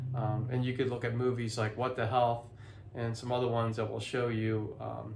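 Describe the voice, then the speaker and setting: There is audible room echo as a man speaks. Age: 50s. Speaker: healthy living vlogger and author. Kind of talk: casual vlog talk to camera. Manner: halting, many fillers and restarts.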